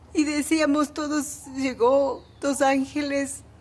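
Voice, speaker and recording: Against noticeable background noise, a woman talks at a very slow pace in a high voice. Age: 60s. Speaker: church member interviewee. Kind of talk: testimony.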